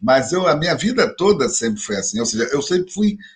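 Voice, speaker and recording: This is an unremarkable speaking voice with lively intonation, delivered at a moderate pace. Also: man. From Rio de Janeiro, Brazil. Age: 60s. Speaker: religious leader and professor. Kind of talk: interview conversation.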